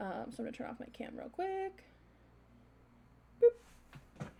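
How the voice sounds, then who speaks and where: A woman speaks in a dark, mellow tone that is somewhat breathy. Her intonation is lively. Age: 30s. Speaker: art livestreamer. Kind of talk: casual chat. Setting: livestream at home. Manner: rambling filler-heavy.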